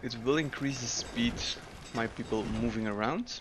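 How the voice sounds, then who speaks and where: A man with a Dutch accent at a moderate pace. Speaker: gaming YouTuber. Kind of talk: gameplay commentary. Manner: casual, with frequent filler 'uh'.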